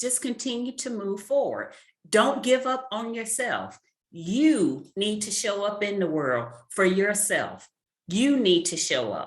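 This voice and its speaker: A woman with a fairly high pitch speaks at a very slow pace with lively intonation. Her voice has vocal fry. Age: 40s. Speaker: author and career mentor. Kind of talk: interview. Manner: emphatic.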